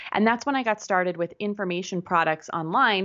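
Speaking with an American accent in an ordinary speaking voice, the speaker moves at a fairly quick pace with ordinary pitch variation. The background is quiet. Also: woman. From Pittsburgh, US. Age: 30s. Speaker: business coach. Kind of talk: interview.

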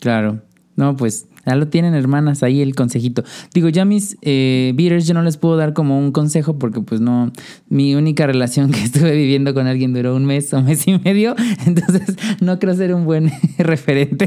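His voice is fairly high in pitch, with a dark, mellow tone and ordinary pitch variation. The man keeps a moderate pace and very even loudness. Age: 30s. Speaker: podcast host. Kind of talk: casual chat. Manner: animated.

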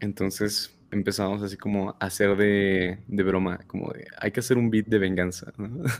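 Hardly pausing, a man talks at a moderate pace in a fairly low, flat monotone. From State of Mexico. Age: 20s. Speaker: music producer and rapper. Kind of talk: casual interview.

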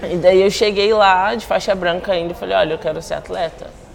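There's audible room echo and noticeable background noise. Through it, a woman speaks with fairly even intonation. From Brazil, Espírito Santo (Guarapari). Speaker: jiu-jitsu athlete. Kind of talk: casual interview.

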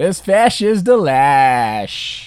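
Pitched in the middle, this put-on character voice makes very wide pitch swings. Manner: silly, exaggerated.

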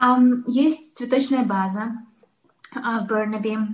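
A woman talks at a very slow pace in a fairly high pitch. Her voice is somewhat breathy. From Uzbekistan, Tashkent. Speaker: florist and business owner. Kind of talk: interview.

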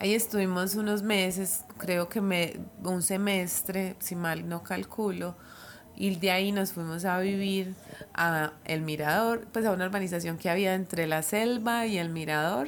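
A woman with an unremarkable speaking voice talks at a fairly slow pace, her medium pitch carrying fairly even intonation. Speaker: psychologist. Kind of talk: casual chat.

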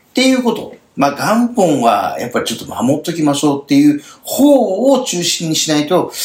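Very wide pitch swings mark this man's fairly high voice as he speaks at a fairly quick pace. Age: 50s. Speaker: end-of-life planning consultant and radio host. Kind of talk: radio talk show chat.

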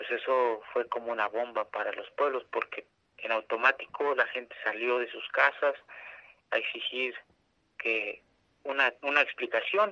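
The sound is dry and close with no echo as a man talks in a central Mexican accent. He goes at a fairly slow pace with long, frequent pauses. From San Salvador Atenco, State of Mexico, central Mexico. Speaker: community land-defense activist. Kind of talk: interview testimony. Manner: halting, with repetitions.

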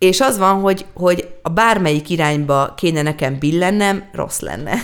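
Here a woman talks in a plain, everyday voice. Her pitch is medium, with ordinary pitch variation. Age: 30s. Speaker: singer-songwriter. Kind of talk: casual chat.

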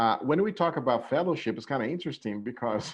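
Using a plain, everyday voice, a man speaks at a fairly quick pace. His intonation is lively. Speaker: online pastor. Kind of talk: panel discussion.

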